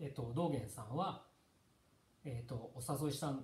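A man's dark, mellow, somewhat breathy voice with ordinary pitch variation and audible room echo. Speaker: monk leading a text study. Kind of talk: lecture. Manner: halting. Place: home room. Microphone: camera far.

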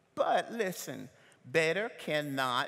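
A man with a Southern US accent, fairly high pitch and lively intonation, at a very slow pace. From US South. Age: 60s. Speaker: pastor. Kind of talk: sermon. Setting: church. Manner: animated. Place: church. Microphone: headset.

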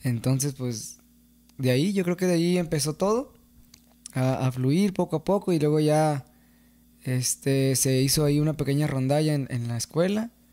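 A man speaks at a moderate pace with a fairly high pitch, ordinary pitch variation and a dark, mellow tone, leaving long, frequent pauses. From Mexico, San Gabriel, Jalisco; Jalisco, Mexico. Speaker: singer-songwriter of corridos; podcast guest. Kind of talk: casual interview chat. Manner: hesitant, many fillers. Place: studio. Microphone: studio mic.

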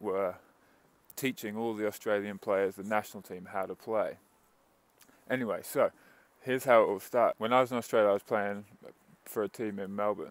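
In a dry recording with no echo, a man with a fairly low pitch speaks in a monotone, flat intonation at a moderate pace, with long, frequent pauses. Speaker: vlogger, coach. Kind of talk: casual vlog chat. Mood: relaxed, storytelling. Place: street. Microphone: earbuds.

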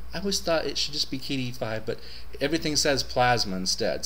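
The speaker is a man whose pace is fairly quick. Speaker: Linux reviewer. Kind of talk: casual talk to camera. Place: home room. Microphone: webcam.

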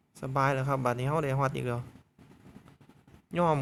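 Here a man talks with an Isan accent at a medium pitch. His intonation stays monotone and flat. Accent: Isan (Northeastern Thai) dialect. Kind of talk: casual game commentary.

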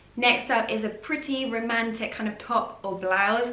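A woman speaks with fairly even intonation in a room with audible echo. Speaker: fashion vlogger. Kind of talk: casual vlog chat. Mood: cheerful, chatty. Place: home room.

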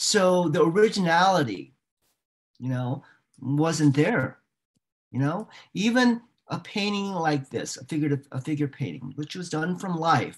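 A man with an American accent at a fairly slow pace, with long, frequent pauses against a quiet background. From Northern Virginia, US; Virginia. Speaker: artist and art professor. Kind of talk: talk with slide presentation. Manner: halting. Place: home room. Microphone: webcam.

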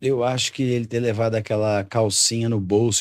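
A man speaks at a moderate pace in a plain, everyday voice, fairly low in pitch with fairly even intonation. The sound is dry with no echo over a quiet background. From Rio Grande do Sul, Brazil. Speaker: comedian. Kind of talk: casual chat. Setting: studio. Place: studio. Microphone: studio mic.

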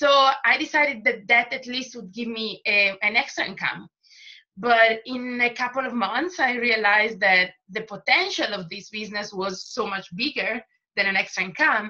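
A woman speaks in an Italian accent at a moderate pace, her pitch fairly high with ordinary variation and a bright, sharp tone. Her loudness swings widely against a quiet background. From Italy. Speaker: makeup artist and distributor; presenter. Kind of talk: testimony. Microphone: video call.

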